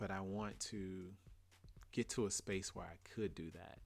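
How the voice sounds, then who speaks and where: A man with a Louisiana accent talks in a very deep, low voice. His delivery is fairly slow and monotone, with flat intonation. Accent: US Southern, Louisiana. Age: 30s. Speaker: podcast host. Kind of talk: casual solo monologue.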